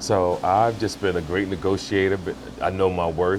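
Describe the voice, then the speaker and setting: A man speaks in a very deep, low pitch at a moderate pace. Noticeable background noise is present. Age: 60s. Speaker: actor and film producer. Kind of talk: casual interview. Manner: hesitant with many fillers.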